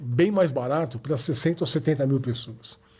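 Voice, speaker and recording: A somewhat breathy man's voice with ordinary pitch variation. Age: 60s. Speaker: football club historian. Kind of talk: podcast interview.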